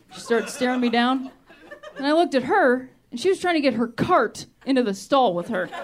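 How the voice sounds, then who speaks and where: A woman with an American accent speaks fairly quickly at a high pitch, her intonation lively and her loudness swinging widely, with noticeable background noise. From Ohio, US Midwest. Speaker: stand-up comedian. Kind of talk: stand-up. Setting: stage with audience.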